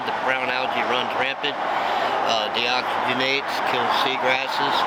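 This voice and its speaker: A man talks in an American accent. There is noticeable noise in the background. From Florida, Space Coast. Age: 60s. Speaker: tour boat captain and ecologist. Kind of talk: interview. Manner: halting, many fillers and repetitions.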